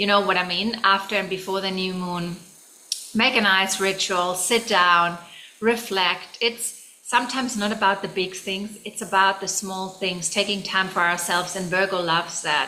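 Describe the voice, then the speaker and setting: With a German accent, a woman speaks at a moderate pace and medium pitch with fairly even intonation, over noticeable background noise. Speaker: tarot reader. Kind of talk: tarot reading. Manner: casual, with fillers and restarts.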